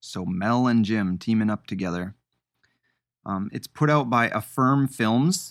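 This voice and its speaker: A man speaks at a medium pitch and fairly slow pace in a plain, everyday voice with ordinary pitch variation. The recording is very clean and dry, close, with no echo and a silent background. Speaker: podcast host. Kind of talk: casual podcast discussion. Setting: basement studio recording.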